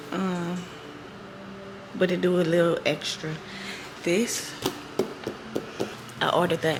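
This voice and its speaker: A woman with a fairly low voice speaks fairly slowly in a monotone, flat delivery, leaving long, frequent pauses. Noticeable background noise and audible room echo fill the recording. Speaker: lifestyle vlogger. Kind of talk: casual vlog narration. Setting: at home. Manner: whispering.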